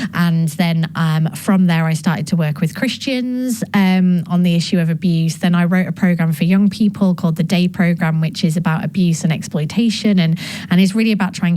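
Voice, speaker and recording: Speaking at a fairly quick pace with a northern English accent, a woman has a fairly low pitch and ordinary pitch variation. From northern England. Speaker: gender justice specialist and author. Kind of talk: interview. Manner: hesitant, many fillers.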